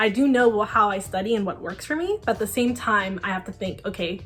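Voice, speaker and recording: The pace is very fast. Music plays in the background. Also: woman. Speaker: college student vlogger. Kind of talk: casual talking-head tutorial.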